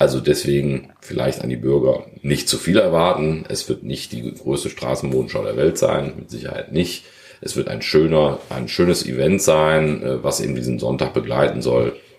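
Speaking at a moderate pace with hardly any pauses, a man with a very deep, low voice uses ordinary pitch variation amid noticeable background noise and audible room echo. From Germany, Krefeld (Lower Rhine). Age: 50s. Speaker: sports retailer and local business association chair. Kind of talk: interview. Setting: conference room in his shop.

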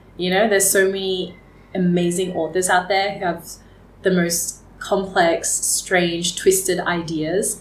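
Speaking at a fairly slow pace with an Australian accent, a woman keeps a monotone, flat intonation amid audible room echo. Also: medium pitch for a woman. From Australia, rural Victoria and Geelong. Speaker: fashion entrepreneur. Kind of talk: interview conversation. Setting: studio.

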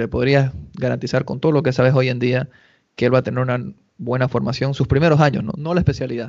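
A man speaks at a fairly quick pace with vocal fry and a medium pitch. His intonation stays fairly even. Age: 30s. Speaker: podcast host. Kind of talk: casual interview.

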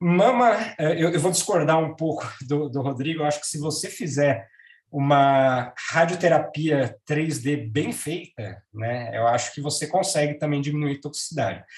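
A man's somewhat breathy, fairly high-pitched voice at a fairly slow pace, with ordinary pitch variation. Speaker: radiation oncologist. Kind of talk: professional panel discussion.

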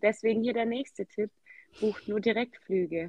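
A woman is speaking. Her pace is moderate. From Swabia, southwest Germany. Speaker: Zumba enthusiast, podcast guest. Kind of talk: casual interview.

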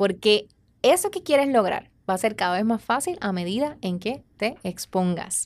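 Very wide pitch swings mark this fairly slow delivery, captured in a very clean recording with a silent background. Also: woman, fairly high pitch for a woman. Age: 30s. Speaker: relationship educator and podcast host. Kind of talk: motivational talk. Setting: studio.

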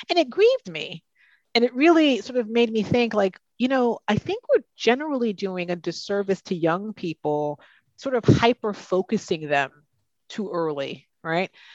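In an American accent, a woman speaks at a moderate pace with a fairly high pitch and very wide pitch swings, against a quiet background. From US. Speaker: HR executive. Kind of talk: interview.

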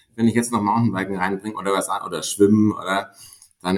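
A man speaks at a fairly quick pace in a fairly low pitch. He has a normal speaking voice and fairly even intonation. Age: 30s. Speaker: mountaineer and management consultant. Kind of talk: podcast interview.

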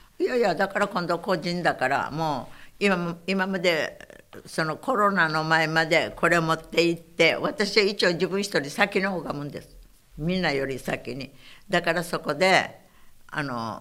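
On a very clean recording with a silent background, a woman with a fairly low pitch and a bright, sharp tone speaks at a fairly slow pace, with ordinary pitch variation and big swings in loudness. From Okinawa, after childhood in Saipan. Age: 90s. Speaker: war survivor and civic activist. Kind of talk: oral history interview.

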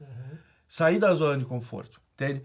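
A man with an unremarkable speaking voice, fairly high in pitch, at a fairly quick pace, on a very clean recording with a silent background. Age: 30s. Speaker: startup founder and entrepreneur. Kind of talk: casual interview, personal storytelling. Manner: casual, slangy with many fillers.

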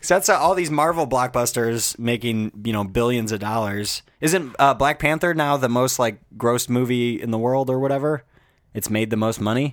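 A man speaks at medium pitch with ordinary pitch variation and a moderate pace, on a very clean recording with a silent background. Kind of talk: casual chat. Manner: chill, joking.

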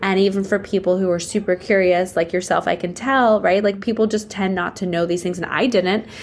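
With an American accent, a woman talks at a fairly quick pace with hardly any pauses, her medium pitch carried by an animated tone. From Pittsburgh, Pennsylvania. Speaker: nonprofit founder. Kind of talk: interview.

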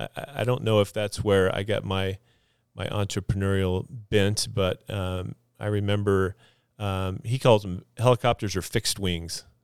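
Recorded very cleanly with a silent background and a dry, close sound with no echo, a man with a normal speaking voice talks at a fairly low pitch and a moderate pace. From Idaho, moved from Texas at ten. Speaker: physical therapist and clinic business owner. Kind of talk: casual interview. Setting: studio.

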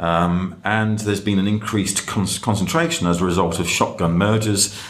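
At a fairly quick pace, a man with a very deep, low pitch and ordinary pitch variation speaks over noticeable background noise. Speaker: fintech commentator. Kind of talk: casual chat.

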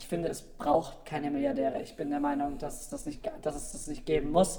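The speaker is a man, with noticeable background noise behind him. He keeps a moderate pace and ordinary pitch variation. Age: 20s. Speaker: voter guest, office employee. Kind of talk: casual interview chat. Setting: radio studio, live broadcast.

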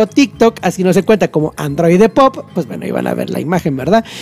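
Noticeable background noise can be heard. Over it, a man talks at a fairly quick pace. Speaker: radio host. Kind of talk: casual chat.

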